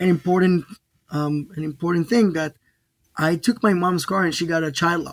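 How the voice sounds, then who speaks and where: A man with an Israeli accent speaks in a high voice. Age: 30s. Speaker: DJ and music event producer. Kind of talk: interview answer.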